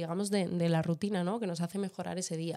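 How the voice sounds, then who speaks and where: A woman speaks in a medium pitch with a dark, mellow tone and fairly even intonation. The recording is very clean, with a silent background. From Madrid, Spain. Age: 20s. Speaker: podcast co-host. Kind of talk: casual chat. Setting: home kitchen.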